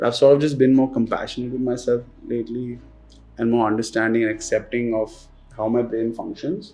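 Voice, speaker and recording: A man's mumbling, medium-pitched voice, dark and mellow in tone, with fairly even intonation at a fairly quick pace. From India, Pune. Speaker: sneaker reselling entrepreneur. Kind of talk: interview. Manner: casual.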